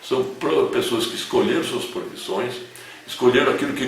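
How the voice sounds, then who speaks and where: Audible room echo with music in the background. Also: man. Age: 70s. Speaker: retired physician and professor. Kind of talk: interview monologue. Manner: halting.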